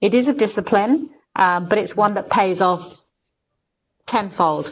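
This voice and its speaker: A plain, everyday voice from a woman at a medium pitch, fairly slow in pace, with ordinary pitch variation. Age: 60s. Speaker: former business association CEO and marathon runner. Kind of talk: casual interview chat.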